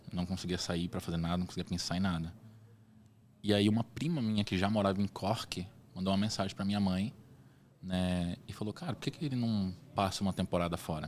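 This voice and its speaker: A man's fairly low-pitched voice at a fairly quick pace, with ordinary pitch variation. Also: long, frequent pauses. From Brazil, raised mostly in Salvador, Bahia. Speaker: entrepreneur, designer. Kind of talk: interview, casual chat. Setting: studio podcast, event with people around.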